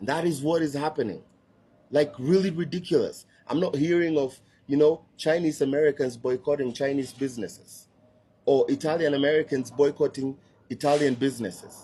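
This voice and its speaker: At a fairly quick pace, a man with a Kenyan accent speaks at a fairly high pitch in a dark, mellow, somewhat breathy tone with ordinary pitch variation. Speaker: social media commentator. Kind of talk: online video rant. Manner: animated.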